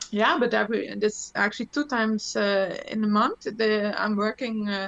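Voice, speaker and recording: Moderately paced speech with fairly even intonation in a German accent. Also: woman, fairly high pitch for a woman. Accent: German-tinged English, non-native. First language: Dutch. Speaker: electronic musician and gear video presenter. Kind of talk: casual chat. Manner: halting, many fillers and restarts.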